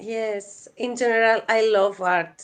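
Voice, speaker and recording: Pitch varies in an ordinary way as a woman talks. Her tempo is very slow. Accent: Greek. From Greece. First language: Greek. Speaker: crypto space co-host. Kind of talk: interview. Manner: halting.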